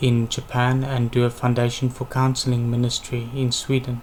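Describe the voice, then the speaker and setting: A man speaks with monotone, flat intonation against noticeable background noise. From South Africa, Western Cape (Worcester). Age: 20s. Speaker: university applicant. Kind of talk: interview presentation.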